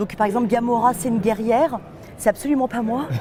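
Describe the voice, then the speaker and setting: Noticeable background noise accompanies a woman speaking at a moderate pace. Her pitch is fairly high with ordinary variation. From France, Nantes. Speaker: voice actress. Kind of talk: interview. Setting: festival.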